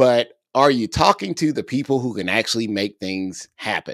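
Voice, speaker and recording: A man's voice swings very widely in pitch against a quiet background. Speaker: podcast co-host, ed-tech educator. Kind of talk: casual podcast chat. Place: home room. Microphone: studio mic.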